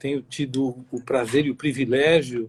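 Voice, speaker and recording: Somewhat breathy and flat in intonation, a man speaks at a medium pitch and a fairly slow pace. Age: 60s. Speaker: forensic medical expert. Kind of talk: interview. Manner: halting, many fillers.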